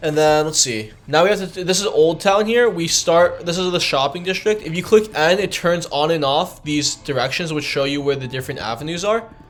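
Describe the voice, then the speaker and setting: Noticeable background noise sits under a man's high-pitched voice. He talks at a fairly quick pace with hardly any pauses and ordinary pitch variation. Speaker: gaming streamer. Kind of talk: live gameplay tutorial stream. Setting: live stream. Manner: casual, halting with fillers; mumbling over words.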